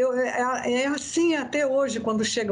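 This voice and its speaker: A woman's fairly high-pitched voice rings out amid audible room echo. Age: 60s. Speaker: therapist and biodanza facilitator. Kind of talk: interview.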